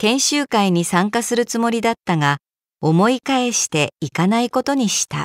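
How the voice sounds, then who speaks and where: In a normal speaking voice, a woman speaks at a fairly high pitch and moderate pace, dry and close with no echo, on a very clean recording with a silent background. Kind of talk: reading aloud. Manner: formal.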